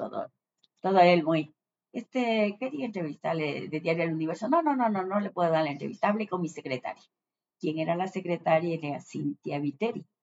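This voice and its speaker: With lively intonation, a woman has an ordinary speaking voice at a fairly low pitch. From Ecuador, Ambato (Andean highlands). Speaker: retired journalist. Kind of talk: interview.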